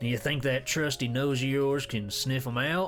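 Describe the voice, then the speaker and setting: Over clear music in the background, a put-on character voice with low-to-middle pitch moves at a moderate pace. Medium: game stream. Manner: eager, earnest.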